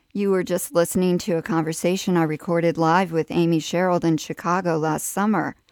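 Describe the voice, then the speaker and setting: A woman's voice, an unremarkable speaking voice, with fairly even intonation and a dry, close sound with no echo. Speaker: radio host and curator. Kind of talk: interview. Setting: radio studio.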